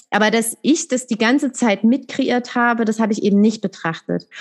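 An unremarkable speaking voice at a moderate pace. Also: woman. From Saxony, eastern Germany (Dresden). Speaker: coach for mothers. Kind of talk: interview, personal testimony.

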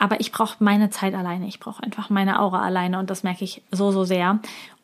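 Her intonation is monotone and flat, with a woman's medium pitch. The recording is very clean, the background silent. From Germany. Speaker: podcast host, business coach. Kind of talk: solo monologue, personal review.

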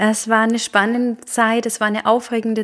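A woman's fairly high voice at a moderate pace. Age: 30s. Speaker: podcast host. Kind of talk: casual monologue. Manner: hesitant, many fillers.

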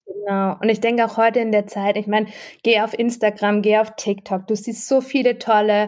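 On a very clean recording with a silent background, a woman talks at a moderate pace in a fairly high pitch. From Freiburg, southwestern Germany. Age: 30s. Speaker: project manager and food blogger. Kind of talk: casual interview.

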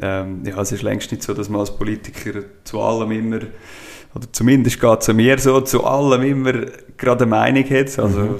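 A man speaks at a fairly quick pace with fairly even intonation, and there is noticeable background noise. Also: medium pitch for a man. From Switzerland, Schwyz (Brunnen). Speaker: cantonal politician. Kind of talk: casual interview.

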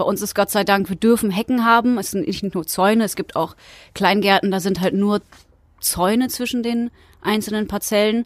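This woman has a plain, everyday voice at a medium pitch. Her intonation stays fairly even. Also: moderate pace, dry, close sound with no echo, very clean recording, silent background. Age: 30s. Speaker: allotment gardener. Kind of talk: interview. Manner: casual, with fillers.

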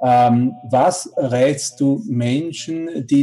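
This man's voice is medium in pitch and shows ordinary pitch variation. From Switzerland. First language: Swiss German (speaking German). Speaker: congress interviewer. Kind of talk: interview. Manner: halting, many fillers.

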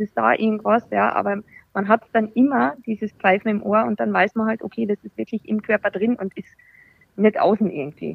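This woman talks at a moderate pace in a normal speaking voice, her pitch sitting in the middle range. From Austria. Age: 30s. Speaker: breast cancer survivor. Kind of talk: casual chat.

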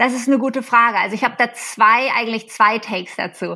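In a bright, sharp tone, a woman speaks at a fairly quick pace with fairly even intonation. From Germany. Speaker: social selling consultant. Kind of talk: interview. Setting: remote call. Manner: hesitant with many fillers.

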